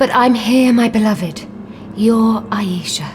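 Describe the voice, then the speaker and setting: A put-on character voice, female-sounding and fairly high-pitched for a woman, at a fairly slow pace over clear background noise. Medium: audio drama. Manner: sarcastic.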